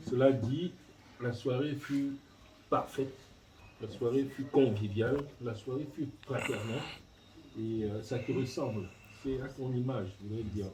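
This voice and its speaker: A man talks at a fairly slow pace with long, frequent pauses and fairly even intonation, amid audible room echo and noticeable background noise. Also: medium pitch for a man. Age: 60s. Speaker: family elder giving a thank-you speech. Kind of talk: speech at a family reception. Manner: halting, hesitant.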